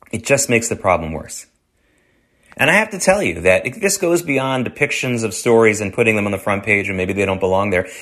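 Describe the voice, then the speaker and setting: Over a quiet background, an unremarkable speaking voice with an American accent moves at a fairly quick pace with lively intonation. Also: man, medium pitch for a man. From US South. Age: 50s. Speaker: radio show and podcast host. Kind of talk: solo commentary monologue.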